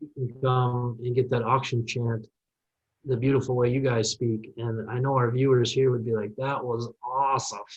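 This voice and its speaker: A man speaks in a Minnesota accent at a medium pitch, somewhat breathy, with monotone, flat intonation. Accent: Minnesota, drawn-out vowels. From Minnesota, US. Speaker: farm machinery media personality. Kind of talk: podcast interview.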